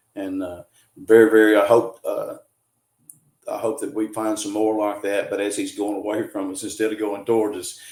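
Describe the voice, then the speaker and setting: This man talks in a Southern US accent. He moves along at a fairly quick clip. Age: 60s. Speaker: cryptid field researcher. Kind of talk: podcast interview. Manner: casual, many fillers and restarts.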